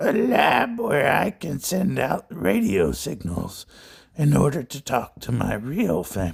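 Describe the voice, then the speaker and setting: In a put-on character voice, a man speaks at a medium pitch and a fairly slow pace. The voice is croaky and raspy. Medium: read story. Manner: cold, condescending.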